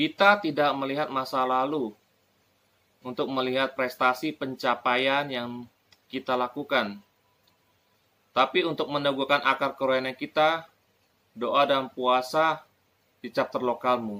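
Long, frequent pauses break up a bright, sharp voice whose intonation stays fairly even. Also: man, medium pitch for a man, fairly slow pace. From Indonesia. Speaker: video reviewer and preacher. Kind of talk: sermon-style reading aloud from a book, with testimony. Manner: fervent, emphatic, repeating phrases for effect; earnest, rising in intensity, exhorting the audience. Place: home room. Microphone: phone near.

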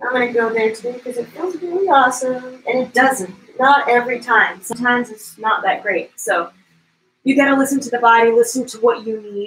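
A woman talks fairly quickly in a high-pitched voice with a playful, soothing tone, ordinary pitch variation and big swings in loudness. There is light background noise and audible room echo. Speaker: yoga instructor. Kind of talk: guided yoga flow, gentle spoken cueing of poses. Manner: soothing, invitational cues; playful, encouraging movement prompts. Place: home room. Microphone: camera far.

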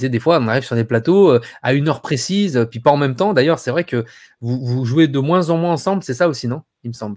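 A man talks at a very fast pace with ordinary pitch variation. The background is quiet. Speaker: YouTube live host. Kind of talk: casual chat. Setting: video call. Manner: animated. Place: home room.

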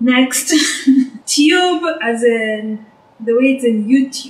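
A woman speaks at a very slow pace in a high pitch with a Kenyan accent, and there is audible room echo. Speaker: video co-host. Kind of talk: casual talk to camera. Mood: playful, amused. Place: home room.

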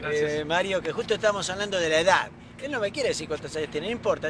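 Noticeable background noise around a man's dry voice with no echo. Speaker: tennis coach interviewer. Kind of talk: interview intro. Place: stadium.

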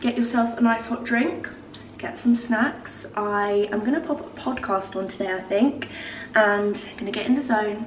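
Audible room echo and light background noise surround a woman speaking at a moderate pace with ordinary pitch variation. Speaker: lifestyle vlogger. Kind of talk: casual vlog chat, sponsored product talk. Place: kitchen. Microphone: camera far.

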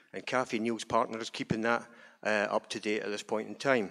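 Here is a man with a Scottish accent. The background is quiet. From Scotland. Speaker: trade union rep. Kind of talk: introductory remarks. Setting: stage with audience. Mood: calm, commemorative. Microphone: handheld.

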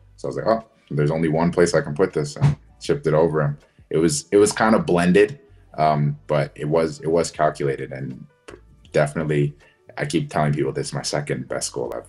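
Very fast speech over faint background music. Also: man. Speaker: guest. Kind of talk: interview answer. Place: home room. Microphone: video call.

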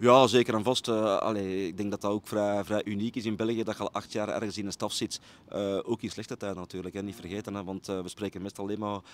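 In a Brabant Flemish accent, a man with a fairly low pitch talks at a very fast pace in a monotone, flat intonation, with a dry sound and no echo. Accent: Flemish (Brabant) Dutch. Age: 40s. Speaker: football coach. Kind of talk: interview. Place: stadium. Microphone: handheld.

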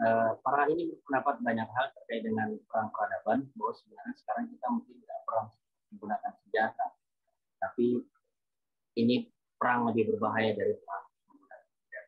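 The background stays quiet. Speech comes at a fairly quick pace. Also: man, big swings in loudness. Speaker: moderator. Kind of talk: Q&A moderation. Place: home room. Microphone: video call.

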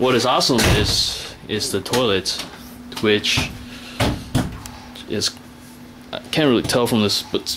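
Noticeable background noise sits behind a man's voice. He speaks at a fairly slow pace with long, frequent pauses. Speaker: tourist filming video diary. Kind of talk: casual vlog narration to camera. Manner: monotone. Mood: relaxed, lightly amused. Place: home room. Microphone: phone near.

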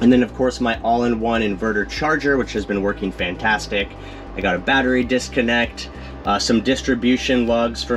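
A man talks while clear music plays in the background. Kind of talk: tutorial. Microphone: phone near.

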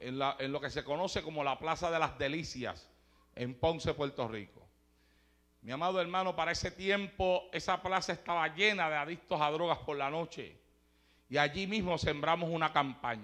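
Fairly high male voice with a bright, sharp tone, moderate pace and ordinary pitch variation, over a quiet background. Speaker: preacher. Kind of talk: sermon. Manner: animated.

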